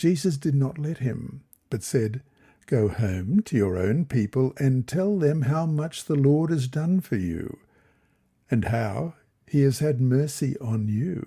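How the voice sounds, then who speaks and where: Over a very clean recording with a silent background, a man of medium pitch talks at a very slow pace in a dark, mellow, somewhat breathy tone with lively intonation. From Australia. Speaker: Bible study reader. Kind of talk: Bible lesson reading.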